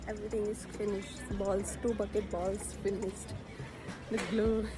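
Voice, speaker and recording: Against background music and audible room echo, a woman talks at a moderate pace. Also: very even loudness. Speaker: vlogger. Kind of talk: casual vlog talk. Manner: code-switching Hindi-English.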